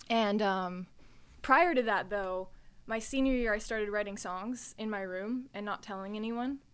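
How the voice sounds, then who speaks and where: A woman with an American accent speaks at a moderate pace in a fairly high voice with ordinary pitch variation, on a very clean recording with a silent background. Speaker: singer and voice-over artist. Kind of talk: casual interview chat. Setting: studio. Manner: animated, upbeat.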